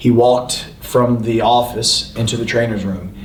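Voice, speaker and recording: With audible room echo and noticeable background noise, a man talks in a Southern US accent. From North Carolina. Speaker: professional wrestler. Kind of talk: casual chat. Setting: live podcast taping on location.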